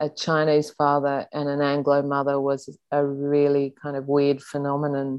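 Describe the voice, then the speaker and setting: A woman with an Australian accent, her voice very deep and low, at a fairly slow pace. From Sydney, Australia. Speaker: journalist and author. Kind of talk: interview.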